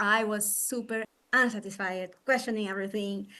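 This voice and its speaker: This woman has a Brazilian Portuguese accent and a medium pitch. She speaks at a fairly quick pace with fairly even intonation. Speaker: psychologist and coach. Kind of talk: interview. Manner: halting, many fillers.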